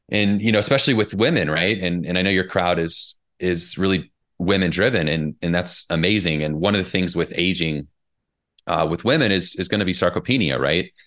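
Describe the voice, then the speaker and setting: Against a quiet background, a man with a very deep, low pitch speaks at a fairly quick pace with very even loudness and ordinary pitch variation. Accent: Midwestern American. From US Midwest, southern Indiana. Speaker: personal trainer and author. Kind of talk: casual interview.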